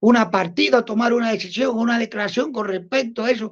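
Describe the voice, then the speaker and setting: A woman speaks at a fairly high pitch. Her pitch variation is ordinary. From Cuba. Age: 60s. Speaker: Cuban anti-communist activist. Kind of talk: interview. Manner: halting, with many repetitions.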